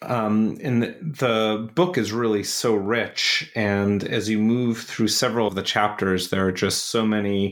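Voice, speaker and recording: The speech has an American accent, a fairly slow pace and hardly any pauses. Loudness stays very even, pitch variation is ordinary, and background noise is noticeable. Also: man, fairly low pitch for a man. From US, Buffalo, New York. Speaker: podcast host, academic. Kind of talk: interview.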